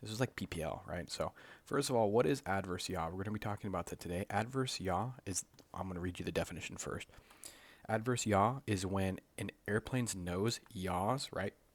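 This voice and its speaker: A soft-spoken man talks fairly quickly at a fairly low pitch with ordinary pitch variation. The recording is very clean, with a silent background. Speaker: flight instructor candidate. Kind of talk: tutorial. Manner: casual. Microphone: mic held close to the mouth.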